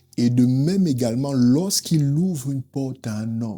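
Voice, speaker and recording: A man with an African accent speaks at a medium pitch in a dark, mellow tone, with ordinary pitch variation. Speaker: preacher. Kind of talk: sermon.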